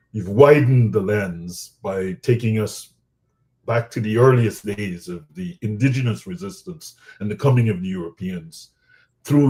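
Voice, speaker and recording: A man with a fairly low, somewhat breathy voice and a dark, mellow tone speaks at a moderate pace. His intonation is lively, with big swings in loudness. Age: 50s. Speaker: interviewer. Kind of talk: interview. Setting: webinar.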